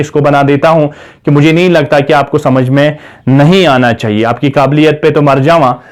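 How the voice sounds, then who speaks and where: This man talks with fairly even intonation. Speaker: teacher. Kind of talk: lecture. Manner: slow.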